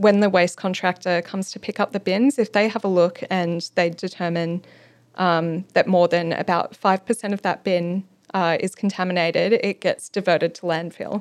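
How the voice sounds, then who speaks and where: A medium-pitched woman with an Australian accent, fairly even intonation and a moderate pace, in a dry, close sound with no echo on a very clean recording with a silent background. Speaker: local government sustainability planner. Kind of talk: interview.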